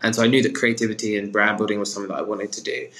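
Talking at a very fast pace, a man with a British accent holds a medium pitch. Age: 20s. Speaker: talent manager. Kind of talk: interview answers.

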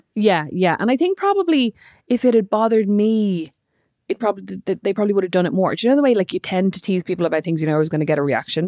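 A woman with an Irish accent speaks at a very fast pace in a dark, mellow tone of medium pitch with lively intonation, recorded with a dry, close sound, no echo and a quiet background. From Ireland. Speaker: podcast host. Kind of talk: casual chat.

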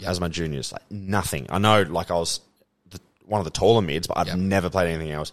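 A man with an Australian accent talks at a fairly quick pace, his pitch varying in an ordinary way. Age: 20s. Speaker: former professional footballer. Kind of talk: casual chat.

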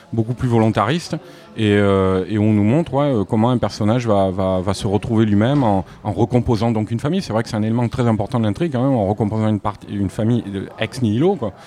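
The tone is dark and mellow. The pace is fast. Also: man, fairly low pitch for a man, ordinary pitch variation.

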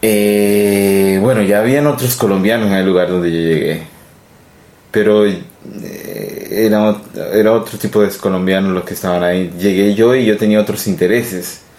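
Speaking with a fairly low pitch and fairly even intonation, a man leaves long, frequent pauses. Noticeable background noise and audible room echo fill the recording. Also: moderate pace. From Colombia. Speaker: immigrant interviewee. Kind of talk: casual interview. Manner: halting. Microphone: too quiet.

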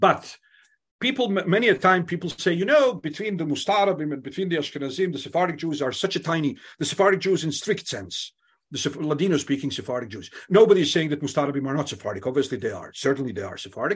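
Against a quiet background, a man with a fairly high pitch talks at a very fast pace, his voice swinging very widely in pitch and showing vocal fry. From Bosnia (Sarajevo). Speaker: university lecturer. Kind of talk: lecture. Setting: video call.

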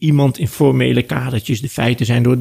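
With an unremarkable speaking voice, a man talks at a fairly quick pace, medium in pitch with ordinary pitch variation. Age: 60s. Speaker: law professor and lawyer. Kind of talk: interview.

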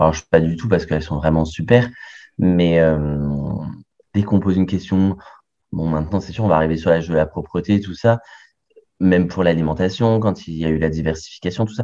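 A man's very deep, low voice with a dark, mellow tone, fairly quick but broken by long, frequent pauses. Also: ordinary pitch variation. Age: 30s. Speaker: medical resident and adoptive father. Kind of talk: interview testimony.

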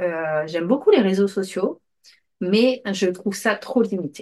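A woman speaks very slowly, her intonation lively. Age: 30s. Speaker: podcast host and aspiring digital assistant. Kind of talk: casual solo monologue. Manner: hesitant with many fillers.

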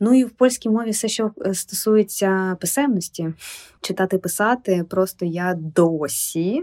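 In an unremarkable speaking voice, a woman speaks fairly slowly. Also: dry, close sound with no echo. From Ukraine, Kyiv. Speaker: literary publisher. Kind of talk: podcast interview.

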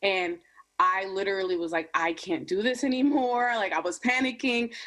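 An ordinary speaking voice from a woman, medium in pitch, fairly quick, with lively intonation. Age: 20s. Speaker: YouTube creator. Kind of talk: casual chat.

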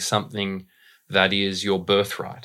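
Speaking at a moderate pace with an Australian accent, a man has a fairly low pitch and a bright, sharp tone on a very clean recording with a silent background. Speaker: voice and dialect coach. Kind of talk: casual interview.

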